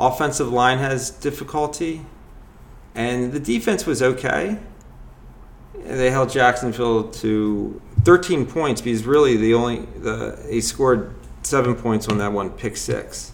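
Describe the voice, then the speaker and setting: Here a man talks in a plain, everyday voice at medium pitch, with ordinary pitch variation and a fairly slow pace. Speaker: podcast host. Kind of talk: casual chat.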